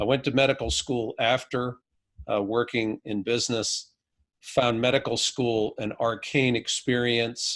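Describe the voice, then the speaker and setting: Against a quiet background, a man with an unremarkable speaking voice talks at a fairly slow pace, medium pitch and fairly even intonation. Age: 50s. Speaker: physician. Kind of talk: podcast interview. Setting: remote video call.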